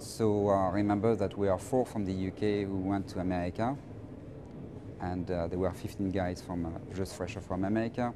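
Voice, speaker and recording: A man talks in a flat monotone at a fairly low pitch. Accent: French. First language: French. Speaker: finance professional. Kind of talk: interview. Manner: halting, many repetitions.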